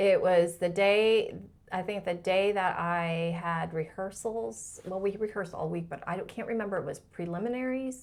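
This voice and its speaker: This is a woman with medium pitch and a normal speaking voice. She speaks at a moderate pace with an American accent. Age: 50s. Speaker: pageant winner and former scientist. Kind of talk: interview conversation.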